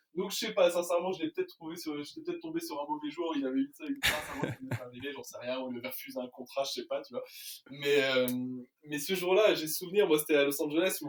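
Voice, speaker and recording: Very fast speech from a man, with very wide pitch swings, over noticeable background noise. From France. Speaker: sports journalist. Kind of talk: casual chat. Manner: hesitant, many fillers.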